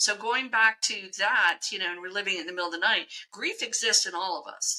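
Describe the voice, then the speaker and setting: Bright, sharp tone at a fairly quick pace, with ordinary pitch variation and big swings in loudness. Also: woman, medium pitch for a woman. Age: 60s. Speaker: psychic medium. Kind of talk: casual chat. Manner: halting.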